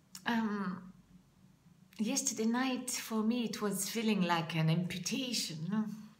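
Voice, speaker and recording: This woman speaks with a French accent at a fairly slow pace and a fairly high pitch. Audible room echo surrounds the recording. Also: ordinary pitch variation, very even loudness. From France. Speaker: public speaking coach. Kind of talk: vlog monologue. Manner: halting.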